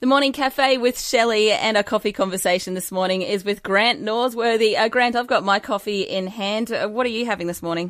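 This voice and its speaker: A woman with an Australian accent, fairly high-pitched and fairly quick, on a very clean recording with a silent background. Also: ordinary pitch variation, hardly any pauses. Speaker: radio host. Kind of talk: radio interview.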